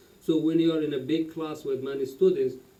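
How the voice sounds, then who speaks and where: A man with a fairly high pitch and ordinary pitch variation speaks at a moderate pace. His tone is dark and mellow, and audible room echo surrounds the voice. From Afghanistan. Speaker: refugee adult learner, case manager. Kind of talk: interview. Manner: halting, many fillers.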